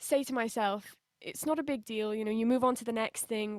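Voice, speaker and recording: Using a British accent, a woman talks at a moderate pace in a fairly high pitch with fairly even intonation. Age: 20s. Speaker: singer. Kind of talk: interview.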